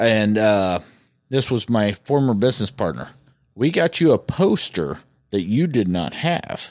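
On a very clean recording with a silent background, a man speaks at a fairly low pitch and fairly slow pace, with very wide pitch swings. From US Midwest, rural northeast Missouri. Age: 40s. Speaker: podcast host, auto shop owner. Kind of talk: casual chat. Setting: studio. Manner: animated.

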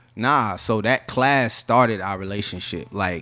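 A man speaks with a Southern US accent. His pitch is fairly low, with ordinary variation. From North Carolina. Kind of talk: casual chat. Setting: studio.

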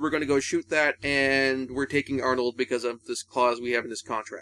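Here a man uses a plain, everyday voice with a fairly high pitch at a fairly quick pace. The sound is dry and close, with no echo. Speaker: podcast host. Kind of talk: casual film discussion podcast.

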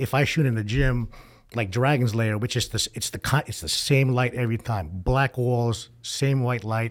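A normal speaking voice with an American accent at a moderate pace, ordinary pitch variation, and a very clean recording with a silent background. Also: man, medium pitch for a man. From New York. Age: 50s. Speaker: fitness photographer. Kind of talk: casual chat.

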